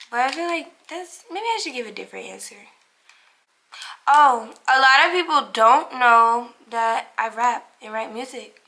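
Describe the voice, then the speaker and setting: In a raised, projected voice, a woman with an American accent talks at a high pitch and a moderate pace, her bright, sharp tone showing big swings in loudness, ordinary pitch variation, and long, frequent pauses. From Cincinnati, Ohio, US Midwest. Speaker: lifestyle vlogger. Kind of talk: casual Q&A chat to camera. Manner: casual, filler-heavy with many likes and ums.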